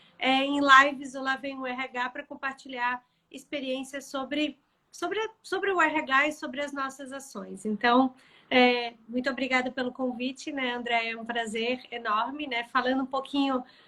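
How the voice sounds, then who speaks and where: A bright, sharp, raised and projected voice at a moderate pace, in a Florianópolis accent. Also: woman, high pitch for a woman. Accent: Florianópolis (manezinho). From Florianópolis, southern Brazil. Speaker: HR tech sales lead and live show host. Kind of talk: live-stream interview. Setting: Instagram live video.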